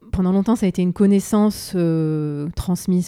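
A woman speaks at a moderate pace in a fairly low voice with ordinary pitch variation. Her tone is dark and mellow. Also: very clean recording, silent background. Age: 40s. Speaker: feng shui and space design consultant. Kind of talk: interview conversation.

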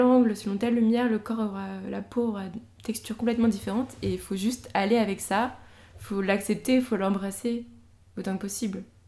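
Somewhat breathy, a woman with a fairly high pitch and a dark, mellow tone speaks at a moderate pace with fairly even intonation. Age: young. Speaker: painter. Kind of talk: casual interview chat.

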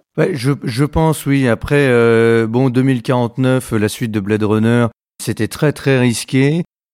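Very slow speech with fairly even intonation and very even loudness, in a dry, close sound with no echo. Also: man, medium pitch for a man. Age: 40s. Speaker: podcast host. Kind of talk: interview. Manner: hesitant, many fillers.

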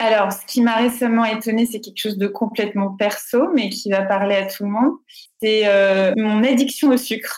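A somewhat breathy woman speaks at a moderate pace in a fairly high pitch. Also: fairly even intonation. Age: 30s. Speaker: foundation director. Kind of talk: interview.

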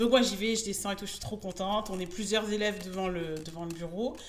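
Fairly quick, fairly even-toned speech from a woman over noticeable background noise. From France, Bordeaux. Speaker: Instagram business coach. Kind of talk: interview. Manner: hesitant, many fillers.

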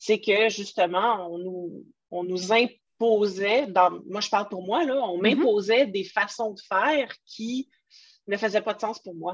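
A woman with a Quebec accent and a medium pitch speaks at a very slow pace with ordinary pitch variation. Her loudness swings widely against a quiet background. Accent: Québécois French. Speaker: podcast host, entrepreneur. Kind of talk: casual interview chat. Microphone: poor voice recording quality.

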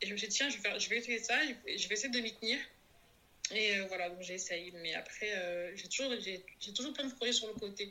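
Fairly high in pitch, this woman's voice stands out. She speaks at a fairly quick pace. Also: ordinary pitch variation. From Comoros. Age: 30s. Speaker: podcast guest sharing life story. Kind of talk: testimony interview. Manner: halting.

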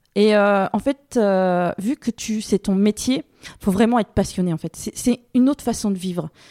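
A dark, mellow tone with ordinary pitch variation comes through a dry, close sound with no echo on a very clean recording with a silent background. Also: woman, medium pitch for a woman. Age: 40s. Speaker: beekeeper. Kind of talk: casual interview conversation. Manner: hesitant, many fillers.

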